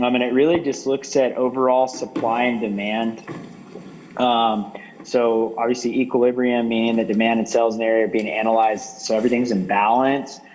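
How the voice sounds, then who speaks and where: A man's medium-pitched voice at a fairly quick pace, with fairly even intonation, very even loudness and noticeable background noise. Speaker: village economic development staff. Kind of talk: presentation at a planning workshop.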